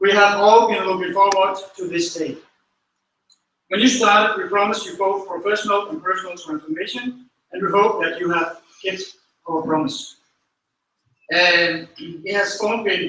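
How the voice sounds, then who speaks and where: A man with a Danish accent, raised and projected, high in pitch with ordinary variation, at a moderate pace with long, frequent pauses, amid audible room echo. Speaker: school manager. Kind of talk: graduation speech. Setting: stage with audience. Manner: halting.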